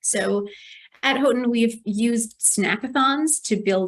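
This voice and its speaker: Her voice is fairly high and somewhat breathy. The woman's pitch varies in an ordinary way. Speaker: archivist, library manuscripts section head. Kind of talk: conference presentation.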